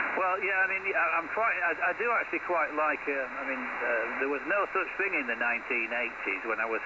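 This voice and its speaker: With lively intonation and a moderate pace, a man talks through noticeable background noise. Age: 60s. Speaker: CB radio operator running a net. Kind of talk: radio chat. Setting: CB radio transmission.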